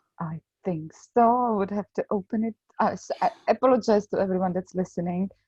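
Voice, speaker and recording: A woman with a Czech accent talks at a fairly quick pace and a medium pitch. Her voice is somewhat breathy, with ordinary pitch variation. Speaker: podcast co-host, major trauma survivor. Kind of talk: casual podcast chat.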